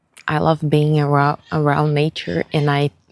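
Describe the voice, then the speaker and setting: This speaker has a Brazilian Portuguese accent and talks at a fairly slow pace. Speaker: vlogger. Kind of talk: casual vlog monologue. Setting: outdoors, walking on the street. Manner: hesitant, with fillers.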